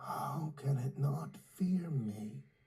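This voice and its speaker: Here is a raspy, put-on character voice. Its pitch sits low to middle. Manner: through clenched teeth, tense.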